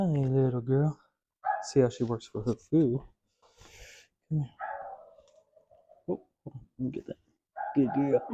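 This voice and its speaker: Soft-spoken and somewhat breathy, a man talks at a fairly slow pace in a medium pitch with a dark, mellow, gentle tone and fairly even intonation. His loudness swings widely, he takes long, frequent pauses, and the sound is dry and close with no echo. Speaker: dog trainer. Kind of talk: dog training instruction to owner. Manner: soft, gentle.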